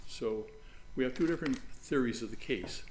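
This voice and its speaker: A man speaks quietly at a moderate pace with ordinary pitch variation. Audible room echo surrounds his voice. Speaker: lawyer. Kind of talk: courtroom oral argument. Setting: large courtroom. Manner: halting, many fillers.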